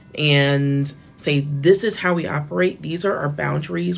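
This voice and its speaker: A woman speaks with vocal fry and an American accent at a very deep, low pitch. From Florida. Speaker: media editor and journalist. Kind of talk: interview. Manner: casual with filler words.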